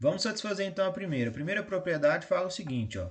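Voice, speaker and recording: A man with a Brazilian accent and very wide pitch swings. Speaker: math teacher. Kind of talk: lecture.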